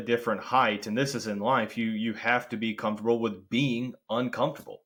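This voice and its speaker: A man speaks with a Kentucky accent. The recording is very clean, with a silent background. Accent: country Kentucky. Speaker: podcast host and sales territory manager. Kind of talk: podcast interview.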